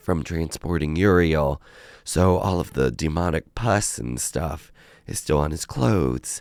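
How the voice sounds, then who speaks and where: A man with a very deep, low pitch talks with ordinary pitch variation. His pace is fairly slow. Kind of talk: casual talk to camera.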